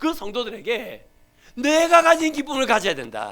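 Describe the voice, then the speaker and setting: In a Gyeongsang accent, a man talks at a fairly quick pace in a raised, projected voice with a bright, sharp tone. His pitch swings very widely and his tone is animated. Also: very clean recording, silent background. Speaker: pastor. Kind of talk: sermon.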